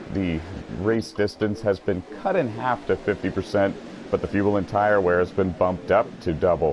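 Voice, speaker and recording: A fairly low-pitched man talks with fairly even intonation at a moderate pace while noticeable background noise sounds behind him. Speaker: sim racing commentator. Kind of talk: live commentary. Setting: broadcast booth.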